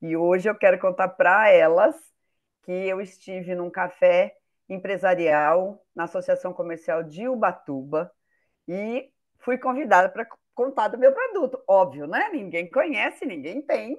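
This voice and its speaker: With a normal speaking voice, a woman talks fairly slowly at a medium pitch, using lively intonation and big swings in loudness. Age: 60s. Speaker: business owner, participant. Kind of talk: participant testimony.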